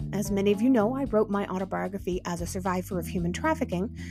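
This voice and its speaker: Background music plays throughout. The woman's speech comes at a very fast pace. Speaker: podcast host and interviewer. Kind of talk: podcast host intro and interview questions.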